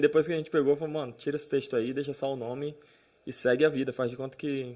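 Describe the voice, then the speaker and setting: This man's voice is dark and mellow, with a fairly high pitch. He talks at a very fast pace. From Brazil, moved around (Amazonas, São Paulo, Minas, Goiás, Natal). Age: 30s. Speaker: pastor. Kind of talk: casual chat.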